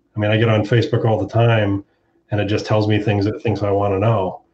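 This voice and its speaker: A somewhat breathy man's voice. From Ohio, US Midwest. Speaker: consumer panelist, medical data consultant. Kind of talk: panel discussion.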